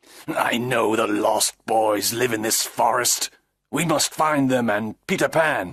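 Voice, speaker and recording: Growling in a put-on character voice, a man talks at a fairly slow pace and a medium pitch. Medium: read story.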